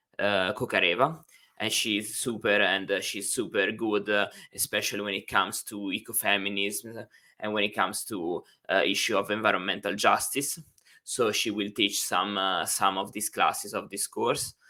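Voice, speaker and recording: On a very clean recording with a silent background, a man with an Italian accent speaks at a fairly low pitch, with a bright, sharp tone and fairly even intonation. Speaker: university instructor. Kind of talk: lecture. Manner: hesitant, many fillers; slow.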